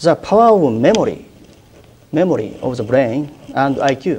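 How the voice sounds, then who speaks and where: With a Japanese accent, a man talks with very wide pitch swings. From Japan, Kumamoto Prefecture. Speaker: newspaper journalist. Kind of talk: university lecture. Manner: hesitant, many filler pauses.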